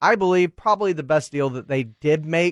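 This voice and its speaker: A man's normal speaking voice with an American accent, fairly high-pitched, lively intonation and a moderate pace, dry and close with no echo against a quiet background. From Texas. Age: 40s. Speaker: sports radio host. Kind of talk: sports radio talk show. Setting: radio studio.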